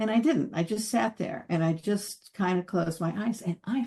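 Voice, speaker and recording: A somewhat breathy woman at a medium pitch, with ordinary pitch variation and a moderate pace. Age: 70s. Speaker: psychotherapist and trauma specialist. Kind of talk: interview. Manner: animated storytelling.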